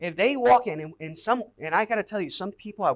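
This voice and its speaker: At a very fast pace, a man speaks in an animated tone with lively intonation and a high pitch. The sound is dry and close with no echo. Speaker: pastor. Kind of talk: conference talk.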